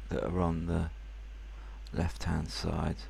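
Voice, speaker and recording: A man's very deep, low voice with vocal fry and very wide pitch swings, in audible room echo. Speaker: software reviewer. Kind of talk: tutorial. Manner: soft-spoken; halting.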